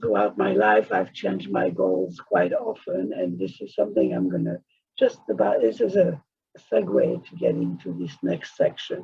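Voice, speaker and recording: With a non-native accent, someone speaks at a moderate pace. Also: man. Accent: foreign accent, noticeable. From outside the US, came to America at fourteen. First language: not English. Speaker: author and course teacher. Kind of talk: recorded lesson.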